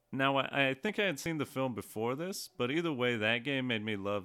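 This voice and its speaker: A man talks at a fairly quick pace with ordinary pitch variation and an unremarkable speaking voice. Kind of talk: casual chat. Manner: joking.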